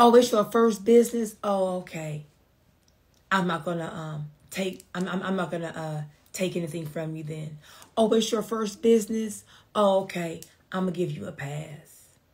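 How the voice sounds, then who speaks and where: A somewhat breathy woman's voice of medium pitch at a moderate pace, with big swings in loudness. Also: ordinary pitch variation. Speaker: business coach and attorney. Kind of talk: live-stream business talk. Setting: online livestream.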